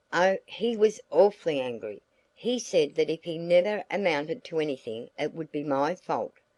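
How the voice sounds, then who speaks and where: A woman's put-on character voice, raspy and fairly low in pitch, with lively intonation at a moderate pace, dry and close with no echo over a quiet background. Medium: read story.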